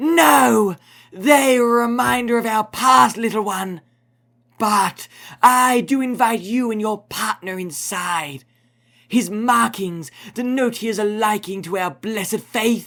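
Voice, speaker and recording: Delivered at a fairly slow pace, this put-on character voice sounds raspy and fairly high-pitched, captured in a very clean recording with a silent background. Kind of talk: religious sermon. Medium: read story. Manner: preachy, archaic and solemn.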